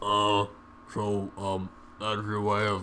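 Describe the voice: Someone is doing plain reading aloud.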